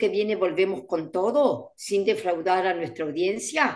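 Against a quiet background, a woman with an Argentine accent speaks at a fairly slow pace with very wide pitch swings. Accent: Argentine Spanish (voseo). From Argentina. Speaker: events industry educator and co-host; events industry educator, co-host. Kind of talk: casual chat. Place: home room. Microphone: video call.

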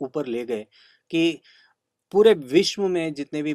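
A man's voice over a quiet background. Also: dry sound with no echo. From Karnataka, India (Dharwad), raised partly in Hyderabad and Delhi; Karnataka. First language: Kannada (speaking Hindi). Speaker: classical flute player; interviewee. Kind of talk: interview. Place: home room.

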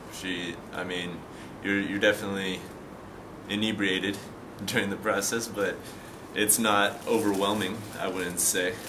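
A man with a fairly low pitch talks at a moderate pace in a monotone, flat intonation. Long, frequent pauses break his speech over noticeable background noise. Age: 20s. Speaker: patient in addiction treatment. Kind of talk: testimony. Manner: halting, many fillers and repetitions. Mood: calm, reflective, subdued. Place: garden. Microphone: camera far.

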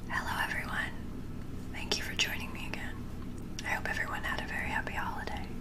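At a moderate pace, the woman talks while loud background noise fills the clip. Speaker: ASMR reader. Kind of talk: audiobook reading. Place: home room. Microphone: studio mic.

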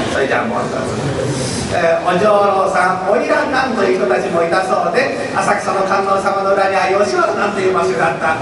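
Over noticeable background noise and strong room echo, a man talks at a fairly quick pace in a high pitch with ordinary pitch variation. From Matsudo, Chiba, Japan. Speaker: rakugo storyteller. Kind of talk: explanation to school audience. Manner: plain modern wording, easy to follow. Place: hall.

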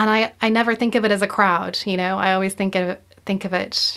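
Against a quiet background, the speaker uses a monotone, flat intonation with an American accent. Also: woman. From South Carolina, US. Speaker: audio producer; podcast guest. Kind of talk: casual conversation. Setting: video call.

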